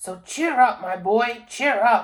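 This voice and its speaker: Using a put-on character voice, a woman speaks high-pitched and raspy. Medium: read story. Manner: boastful.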